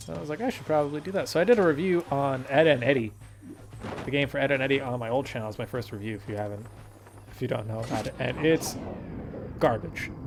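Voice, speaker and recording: A man with a medium-pitched voice talks at a very fast pace with lively intonation, broken by long, frequent pauses, over noticeable background noise. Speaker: gaming YouTuber. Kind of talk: gameplay commentary. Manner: casual, rambling with fillers.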